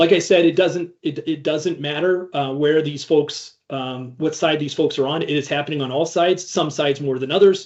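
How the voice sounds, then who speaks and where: Speaking at a moderate pace with a Midwestern US accent, a man uses a fairly high pitch and fairly even intonation. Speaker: cybersecurity ransomware responder, conference speaker. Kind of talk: conference talk. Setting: stage with audience. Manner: halting, many fillers and restarts.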